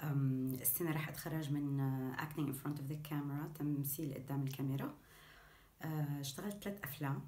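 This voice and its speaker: A woman's very deep, low voice in a Syrian accent. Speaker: actress. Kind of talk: actor self-introduction. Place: home room. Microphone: phone near.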